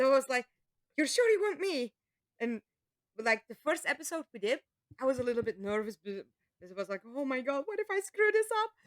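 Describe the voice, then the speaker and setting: A woman with a non-native accent talks fast-ish in a high voice, her pitch swinging very widely and her loudness rising and falling sharply. She leaves long, frequent pauses, and the sound is dry and close with no echo. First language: Dutch. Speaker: voice actor. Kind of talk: casual chat.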